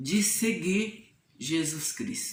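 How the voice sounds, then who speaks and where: The room echo is audible here. A woman talks at a very slow pace. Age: 70s. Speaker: nun. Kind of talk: testimony.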